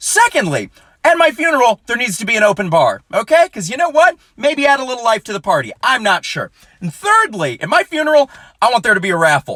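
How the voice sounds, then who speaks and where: With a raised, projected voice, a man talks at a fairly quick pace, his pitch swinging very widely, in a dry, close sound with no echo. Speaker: comedian. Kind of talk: stand-up. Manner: fast; clear enunciation.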